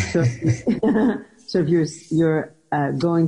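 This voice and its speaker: Here a woman speaks at a very slow pace. Her voice is very deep and low, with a dark, mellow tone. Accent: New York. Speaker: radio talk show host. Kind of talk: interview wrap-up.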